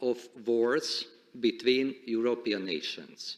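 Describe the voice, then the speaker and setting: A man with a Hungarian accent, at a fairly slow pace. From Hungary. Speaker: supreme court president. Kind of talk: formal speech. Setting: conference stage with audience. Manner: formal.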